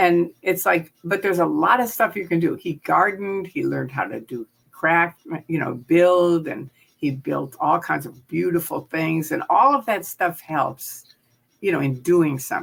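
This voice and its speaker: Lively intonation and vocal fry at a moderate pace, with an American accent. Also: woman, fairly low pitch for a woman. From US Midwest, Chicago. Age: 70s. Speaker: former Scientology member and critic. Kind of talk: interview. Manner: animated.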